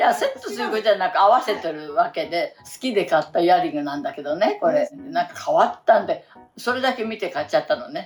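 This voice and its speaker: A woman speaks very fast in a fairly high, cheerful voice with very wide pitch swings and big swings in loudness. Music plays in the background. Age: 80s+. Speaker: actress and singer. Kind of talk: interview answer. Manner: cheerful, chatty.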